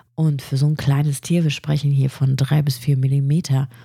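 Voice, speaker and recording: A woman speaks at a moderate pace in a very deep, low pitch. Her tone is dark, mellow and somewhat breathy. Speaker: podcast host, illustrator. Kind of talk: solo podcast monologue. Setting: home recording at a microphone. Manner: animated.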